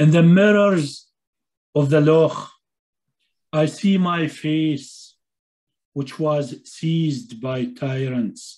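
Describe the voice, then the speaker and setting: A man with an Arabic accent speaks at a very slow pace, leaving long, frequent pauses. His pitch variation is ordinary, and the background is quiet. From Palestinian, grew up in Syria. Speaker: poet and translator. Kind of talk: poetry reading. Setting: video call. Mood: calm, reflective. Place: home room. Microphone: webcam.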